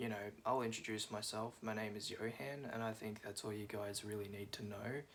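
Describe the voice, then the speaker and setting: With an Australian accent, a man speaks at a moderate pace with fairly even intonation and hardly any pauses, over noticeable background noise. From Australia, Melbourne. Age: 20s. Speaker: vlogger. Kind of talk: casual monologue vlog. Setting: at home, seated on cushions. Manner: hesitant, many fillers.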